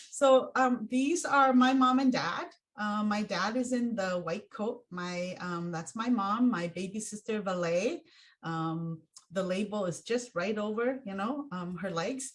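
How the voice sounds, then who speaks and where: Somewhat breathy and fairly slow, a woman speaks at medium pitch with lively intonation. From Hmong refugee from Laos/Thailand, raised in US. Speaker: racial equity consultant. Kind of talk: plenary talk. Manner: halting with many fillers.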